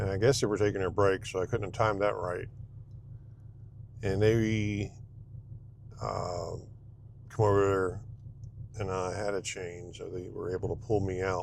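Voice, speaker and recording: Soft-spoken and monotone, a man with an American accent speaks at fairly low pitch in flat intonation, leaving long, frequent pauses. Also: moderate pace. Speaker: dumpster rental business owner. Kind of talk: casual vlog while driving. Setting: in a truck. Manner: hesitant, many fillers. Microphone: wearing a new clip mic.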